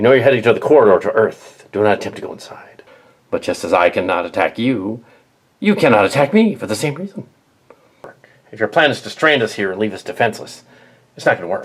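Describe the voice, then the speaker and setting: A man does a put-on character voice at medium pitch. He speaks at a very fast pace, with long, frequent pauses. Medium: machinima. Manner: measured, authoritative.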